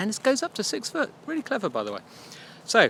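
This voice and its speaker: A man talks with an English accent. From England. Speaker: marketing podcast host. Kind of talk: casual solo podcast. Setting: outdoors by a duck pond. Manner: casual, chatty with fillers.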